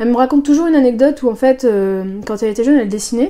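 Her tone is dark and mellow, as a woman speaks at a fairly high pitch with ordinary pitch variation. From northern France (Soissons). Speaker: animator and painter. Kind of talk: casual interview.

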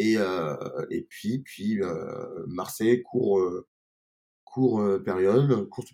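A man speaks in a dark, mellow tone. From France, Grenoble. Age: 50s. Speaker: restaurant and bar owner. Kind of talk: interview. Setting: in his wine bar. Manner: halting, many repetitions.

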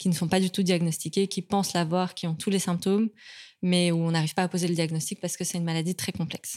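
A woman speaks in a fairly low, flat monotone. The recording is very clean and dry, with a silent background and no echo. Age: 30s. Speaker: endometriosis patient and awareness advocate. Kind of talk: casual chat.

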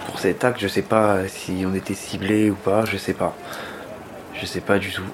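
Noticeable background noise runs behind a man with a fairly low voice who speaks at a fairly slow pace. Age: 20s. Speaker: injured protester. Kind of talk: testimony.

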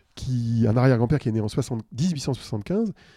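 A man's dark, mellow voice shows ordinary pitch variation in a very clean recording with a silent background and a dry, close sound with no echo. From Paris region, France. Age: 50s. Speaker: tech consultant and author. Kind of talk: interview conversation.

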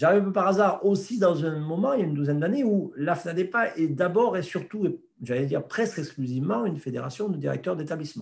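Very fast, lively intonation from a man with a fairly high pitch. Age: 50s. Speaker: president of a federation of elderly care home directors. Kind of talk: interview. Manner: halting, many repetitions.

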